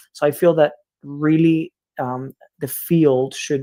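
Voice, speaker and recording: His pitch sits fairly high for a man. The intonation remains fairly even throughout. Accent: Spanish. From Cuba. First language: Spanish. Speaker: education researcher. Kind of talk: lecture. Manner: halting.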